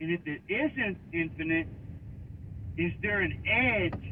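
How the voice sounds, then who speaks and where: Noticeable background noise surrounds a man talking with an American accent at a fairly high pitch. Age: 60s. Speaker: radio caller. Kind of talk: radio call-in question. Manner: halting, many fillers.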